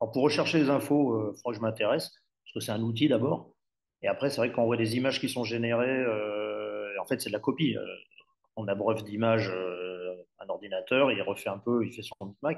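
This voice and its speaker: This is a normal speaking voice from a man, medium in pitch. He talks fairly quickly and his pitch varies in an ordinary way. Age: 60s. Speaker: press cartoonist. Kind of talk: online panel discussion.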